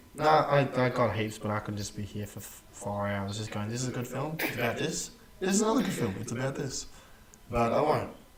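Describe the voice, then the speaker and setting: A man at a medium pitch, fairly quick in pace with ordinary pitch variation, amid audible room echo and noticeable background noise. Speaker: podcast co-host. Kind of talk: casual chat. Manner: animated.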